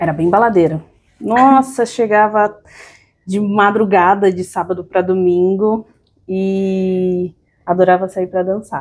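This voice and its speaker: Speaking at a very slow pace, a woman uses fairly even intonation and takes long, frequent pauses. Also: medium pitch for a woman. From São Paulo, Brazil (moved there at age two). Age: 30s. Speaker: podcast guest, entrepreneur. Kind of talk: interview, personal storytelling.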